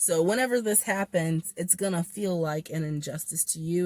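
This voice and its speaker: A woman speaks with a dark, mellow tone and fairly low pitch. Her pitch varies in an ordinary way. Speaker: tarot reader. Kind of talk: tarot reading monologue. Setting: in a car. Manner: stumbling, self-correcting.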